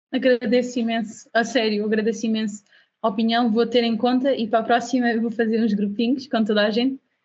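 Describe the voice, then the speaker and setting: The delivery is flat and monotone. It moves at a fairly quick pace. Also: woman, fairly high pitch for a woman. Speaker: UX/UI design instructor. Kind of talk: online class. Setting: video call. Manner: fast.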